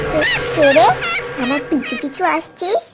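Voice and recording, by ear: A woman performs a cartoonish character voice. It is high-pitched. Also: moderate pace.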